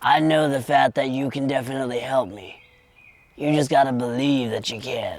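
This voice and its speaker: A man does a put-on character voice at medium pitch and a moderate pace, with fairly even intonation and big swings in loudness. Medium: audio drama. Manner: rambling, folksy.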